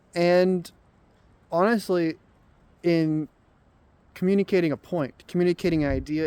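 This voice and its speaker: A man speaks at a moderate pace in a high voice with fairly even intonation. The sound is dry and close, with no echo. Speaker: vlogger. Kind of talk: casual monologue. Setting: outdoors, walking while filming. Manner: halting, many repeats and fillers.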